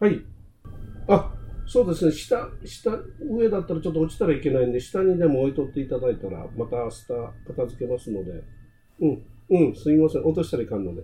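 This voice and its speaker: A man talks at a fairly quick pace in a fairly high pitch, his tone dark and mellow and somewhat breathy. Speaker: podcast co-host. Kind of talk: casual chat.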